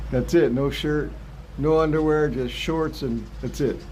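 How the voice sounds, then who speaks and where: A man at a moderate pace, with audible room echo. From US West, Los Angeles San Fernando Valley. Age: 60s. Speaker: retired vlogger. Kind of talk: casual live stream chat. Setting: live stream.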